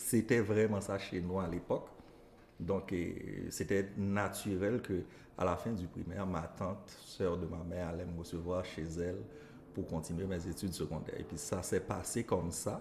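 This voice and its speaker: A very deep, low male voice, somewhat breathy, with fairly even intonation at a fairly slow pace. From Haiti, northeast village near Cap-Haïtien. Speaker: elementary school teacher. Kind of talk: interview.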